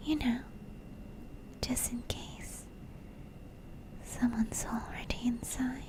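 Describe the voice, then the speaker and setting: Whispering at a very slow pace with long, frequent pauses, against noticeable background noise. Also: woman. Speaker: ASMR creator / streamer. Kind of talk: horror story narration, ASMR. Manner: whispered, soft, cozy.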